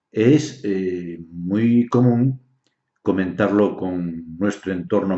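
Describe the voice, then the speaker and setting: The voice belongs to a man and sits fairly low. Its pitch moves with ordinary variation. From Galicia, Spain. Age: 60s. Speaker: naturopath and dowser. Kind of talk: explanatory talk on health. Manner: hesitant, many fillers.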